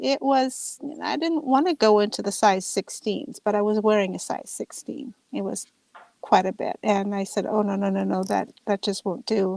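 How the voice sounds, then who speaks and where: A woman with an American accent speaks in a plain, everyday voice at a medium pitch and moderate pace, with ordinary pitch variation and a dry, close sound with no echo. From California. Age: 60s. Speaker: nurse. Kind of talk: interview. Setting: live stream interview.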